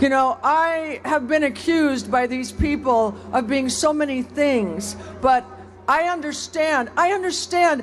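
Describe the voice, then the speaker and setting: Clear background noise runs throughout. The delivery is somewhat unhurried. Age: 70s. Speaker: rally speaker. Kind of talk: protest speech. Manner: halting.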